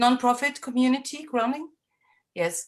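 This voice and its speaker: A woman speaks with a German accent. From Germany. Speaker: healer and moon mother. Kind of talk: sharing in an online women's circle. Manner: halting, many fillers.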